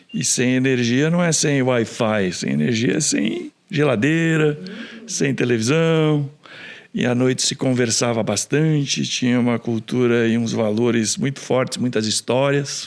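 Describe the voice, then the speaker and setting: A man with a plain, everyday voice speaks at a fairly slow pace and medium pitch, with ordinary pitch variation and very even loudness. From interior of São Paulo state, Brazil (Rinópolis). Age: 60s. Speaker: engineer and entrepreneur. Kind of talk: podcast interview.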